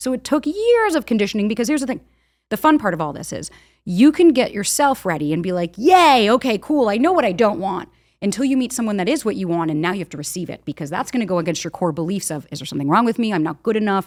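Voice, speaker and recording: The speech is very fast, with very wide pitch swings. The recording is very clean, with a silent background. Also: woman, medium pitch for a woman. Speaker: dating expert and podcaster. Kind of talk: casual interview chat.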